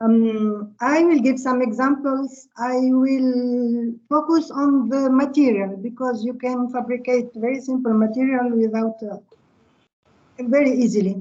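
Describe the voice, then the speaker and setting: In an Arabic accent, a woman speaks at a high pitch and a fairly slow pace with fairly even intonation. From Tunisia. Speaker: physics professor. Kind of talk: lecture. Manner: halting.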